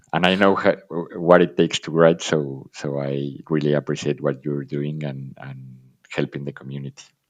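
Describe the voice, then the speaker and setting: A man with a non-native accent speaks at a moderate pace. His pitch is very deep and low, and his intonation stays fairly even. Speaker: dividend investor. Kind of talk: casual chat. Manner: halting.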